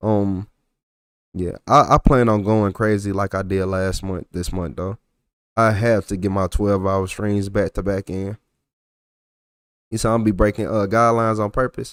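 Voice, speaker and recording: Relaxed in tone, a man talks with a strong Texas accent at a moderate pace, with fairly even intonation and long, frequent pauses. The recording is very clean and dry, close with no echo and a silent background. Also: fairly low pitch for a man. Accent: thick Texas. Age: 40s. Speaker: livestreamer reacting to police videos. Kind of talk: casual livestream chat with viewers. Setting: livestream. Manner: relaxed, slangy, repetitive.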